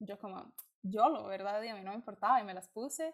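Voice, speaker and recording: Using a Costa Rican accent, a woman speaks very fast at a fairly high pitch. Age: 20s. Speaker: student and skin-condition blogger. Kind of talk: casual chat.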